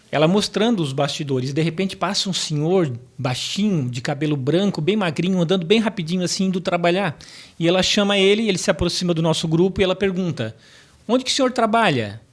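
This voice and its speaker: Speech moves at a fairly quick clip. Its intonation is lively. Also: man, high pitch for a man. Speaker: professor and motivational speaker. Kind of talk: podcast interview. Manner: storytelling.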